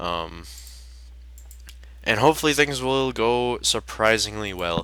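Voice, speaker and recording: Recorded very cleanly against a silent background, a man speaks at a medium pitch with a bright, sharp tone. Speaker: gaming youtuber. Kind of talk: gameplay commentary. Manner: hesitant, many fillers; shaky.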